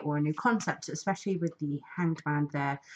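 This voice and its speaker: Her pitch is very deep and low. The woman speaks at a fairly quick pace. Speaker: tarot reader. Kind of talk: tarot reading to camera. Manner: hesitant, many fillers.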